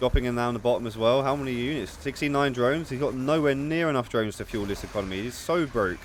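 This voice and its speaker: Speech comes at a very fast pace with ordinary pitch variation over noticeable background noise. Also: man. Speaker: esports caster. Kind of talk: live commentary; casual outro. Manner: animated.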